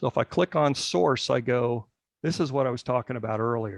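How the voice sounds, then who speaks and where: A man with an ordinary speaking voice talks at a moderate pace and medium pitch with ordinary pitch variation, the sound dry and close with no echo against a quiet background. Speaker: genealogy committee leader. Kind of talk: tutorial during an online meeting.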